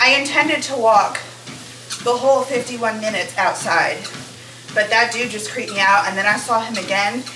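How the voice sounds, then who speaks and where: In a room with audible echo and noticeable background noise, a woman speaks at a fairly high pitch and a moderate pace with ordinary pitch variation. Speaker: lifestyle vlogger. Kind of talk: casual vlog talk. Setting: outdoors then indoors on treadmill. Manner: loud.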